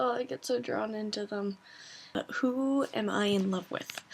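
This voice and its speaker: A soft-spoken woman at a medium pitch, with ordinary pitch variation and a very slow pace. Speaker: vlogger. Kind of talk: casual chat. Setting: bedroom at home at night.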